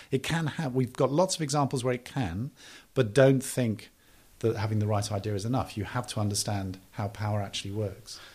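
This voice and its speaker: Speaking at a fairly quick pace, a man with a medium pitch, ordinary pitch variation and a somewhat breathy voice is heard on a very clean recording with a silent background. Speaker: development policy advisor and author. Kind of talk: interview.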